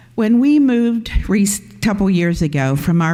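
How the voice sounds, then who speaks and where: There is audible room echo as a woman talks at a moderate pace. Her tone is dark and mellow, with lively intonation. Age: 70s. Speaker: pastor. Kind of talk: sermon.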